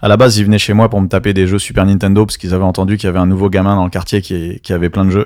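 At a very fast pace with hardly any pauses, a man talks in a fairly low, monotone, flat voice. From France, Strasbourg (Alsace). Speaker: DJ. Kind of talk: casual interview. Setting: in a venue in Paris.

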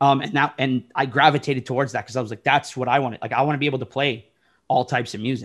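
Talking at a very fast pace, a man with a Toronto accent holds a fairly even intonation. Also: medium pitch for a man. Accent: Canadian English (Toronto area). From Oshawa, Ontario, Canada. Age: 30s. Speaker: DJ. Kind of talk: casual chat. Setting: video call.

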